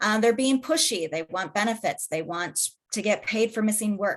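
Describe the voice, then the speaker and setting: A woman with a medium-pitched, lively intonation speaks in an ordinary speaking voice. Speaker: assistant attorney general presenter. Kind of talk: webinar presentation. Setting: online webinar.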